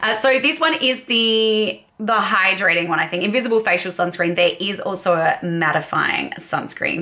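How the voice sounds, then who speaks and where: A woman with an Australian accent speaks at a moderate pace with hardly any pauses, her medium pitch swinging very widely, over noticeable background noise. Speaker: beauty YouTuber. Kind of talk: casual makeup tutorial vlog.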